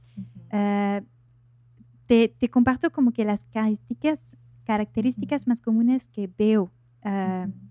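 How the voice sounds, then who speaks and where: Speaking at a fairly slow pace with long, frequent pauses, a woman uses a fairly high pitch and ordinary pitch variation. Her tone is dark and mellow, and the sound is dry and close with no echo. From France. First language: French (speaking Spanish). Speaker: life coach. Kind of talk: interview. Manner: hesitant, many fillers.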